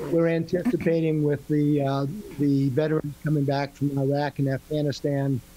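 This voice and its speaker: A man talks at a moderate pace in a monotone, flat intonation. Noticeable background noise sits behind him. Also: fairly high pitch for a man. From New England. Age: 60s. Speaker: retired Marine and real estate professional. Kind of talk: podcast interview. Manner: halting.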